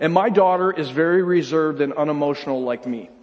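A man speaks with ordinary pitch variation. Noticeable background noise can be heard. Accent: American. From upstate New York. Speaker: pastor. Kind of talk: sermon. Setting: church.

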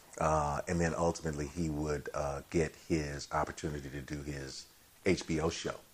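A man with an American accent speaks at a moderate pace in a very deep, low voice, his intonation monotone and flat. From Chicago. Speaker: TV writer and director. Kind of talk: casual chat.

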